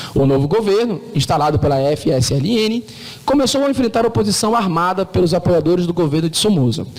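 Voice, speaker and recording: Lively intonation marks this man's high-pitched voice, heard against noticeable background noise. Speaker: law professor. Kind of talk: lecture. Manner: fast.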